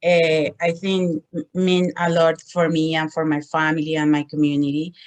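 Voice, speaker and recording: Speaking with a Spanish accent, a woman with a fairly low pitch talks at a fairly slow pace with fairly even intonation and hardly any pauses. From Colombia. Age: 40s. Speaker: social work student and domestic violence advocate. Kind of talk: presentation.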